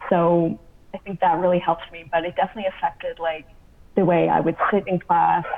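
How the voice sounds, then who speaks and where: Delivered at a fairly quick pace in an American accent, the voice stays monotone and flat over noticeable background noise. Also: woman. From US Southwest, Arizona. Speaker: graduate student. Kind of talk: casual interview. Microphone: audio issues, sometimes hard to make out.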